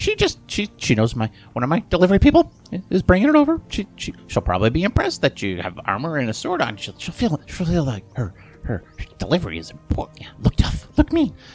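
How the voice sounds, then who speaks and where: A man puts on a character voice, pitched fairly high, at a moderate pace. His loudness swings widely, and music is clearly audible in the background. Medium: actual play. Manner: chummy, breezy, evasive; talkative, rambling.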